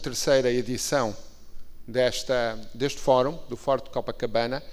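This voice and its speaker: Noticeable background noise and audible room echo surround a man speaking with a European Portuguese accent. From Portugal. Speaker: ambassador. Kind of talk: formal conference speech. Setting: stage at conference. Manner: formal.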